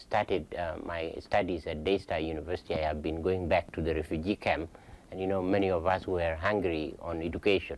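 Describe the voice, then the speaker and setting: With ordinary pitch variation, a man speaks at a moderate pace in a very deep, low pitch. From South Sudan. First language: Dinka. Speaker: pastor. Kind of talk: Q&A talk. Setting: lunch event with audience. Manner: halting.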